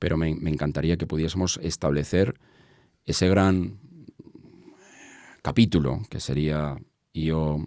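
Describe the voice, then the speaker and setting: Very deep and low, a man's voice carries a dark, mellow tone. He speaks at a fairly slow pace with ordinary pitch variation. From Spain, Madrid. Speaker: entrepreneur, business association president. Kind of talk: interview conversation. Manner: halting, many fillers and repetitions.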